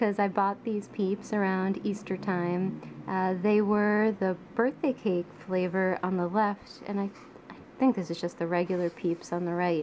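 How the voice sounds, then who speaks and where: Soft-spoken and fairly slow, the voice keeps a fairly even intonation. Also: woman, medium pitch for a woman. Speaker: artist. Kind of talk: ASMR soft-spoken sketchbook tour.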